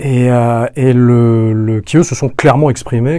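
A man's dark, mellow voice sits at medium pitch and shows ordinary pitch variation. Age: 40s. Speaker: podcast guest, descendant of a noble family. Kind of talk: interview conversation. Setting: studio. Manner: hesitant, many repetitions.

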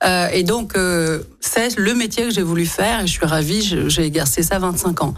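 A woman's fairly low voice with ordinary pitch variation and audible room echo. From France, Lyon. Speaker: politician and business school director. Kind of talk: radio interview.

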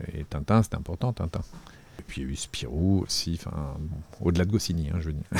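A man talks at a very fast pace with a very deep, low pitch, ordinary pitch variation, and vocal fry. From Paris area, France. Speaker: comic book author and illustrator. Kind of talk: interview. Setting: artist's studio. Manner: halting, with frequent repetitions and fillers.

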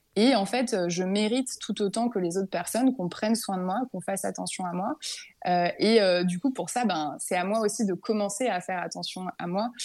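At a moderate pace, a woman speaks at a medium pitch with ordinary pitch variation in a normal speaking voice. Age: 20s. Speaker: work psychologist. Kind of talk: testimony.

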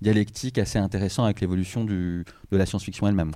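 A man with a fairly low pitch and a dark, mellow tone is heard on a very clean recording with a silent background. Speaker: science-fiction author. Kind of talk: panel discussion.

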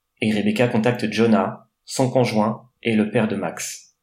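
His words come at a fairly slow pace. The man's voice sits at a medium pitch. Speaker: guest. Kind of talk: true-crime narration, read out.

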